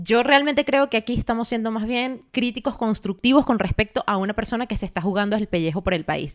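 In a dry, close recording with no echo, a woman speaks very fast at a fairly high pitch with ordinary pitch variation. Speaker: podcast co-host. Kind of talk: casual chat.

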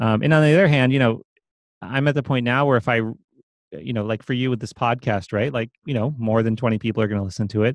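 In a very clean, dry, close recording with no echo and a silent background, a man with an American accent talks very fast with ordinary pitch variation. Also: medium pitch for a man. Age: 30s. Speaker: programming teacher and author. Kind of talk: interview.

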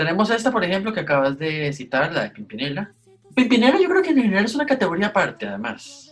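The voice races along at a very fast pace with very wide pitch swings. Noticeable background noise is present. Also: man, high pitch for a man. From Costa Rica. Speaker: podcast co-host. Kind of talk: casual chat.

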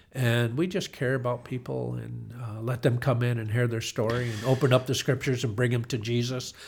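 A man with an American accent, medium-pitched and somewhat breathy, fairly even intonation, a fairly quick pace with hardly any pauses, on a very clean recording with a silent background. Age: 60s. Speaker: retired car dealership owner. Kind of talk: casual interview.

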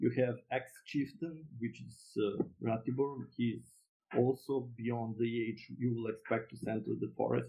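Fairly even intonation marks this voice with a Serbian accent. The pace is fairly slow. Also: man, medium pitch for a man. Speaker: board game designer. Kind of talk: interview.

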